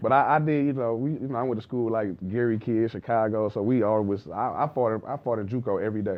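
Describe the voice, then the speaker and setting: Talking very fast with hardly any pauses, a man with an American accent uses a medium pitch and ordinary pitch variation. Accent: sounds Southern to others. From Detroit, Michigan. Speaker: basketball trainer, former player. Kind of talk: casual interview chat.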